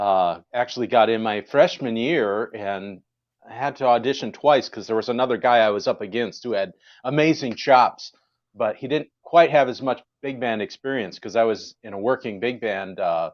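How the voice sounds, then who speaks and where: A man talks at a moderate pace and a medium pitch, with ordinary pitch variation. His is an unremarkable speaking voice. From Wisconsin. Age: 50s. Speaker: jazz musician. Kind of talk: casual chat.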